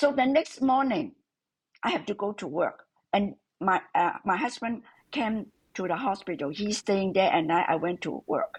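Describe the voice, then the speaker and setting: At a moderate pace, a woman with a medium pitch and a somewhat breathy voice makes very wide pitch swings against a quiet background. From Hong Kong. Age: 70s. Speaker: mother-in-law of the host. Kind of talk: interview. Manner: halting; light and cheerful.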